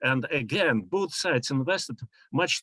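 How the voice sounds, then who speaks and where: In a very clean recording with a silent background and a dry, close sound with no echo, a man with a Russian accent talks at a moderate pace with lively intonation. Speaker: professor. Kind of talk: conference talk. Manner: halting.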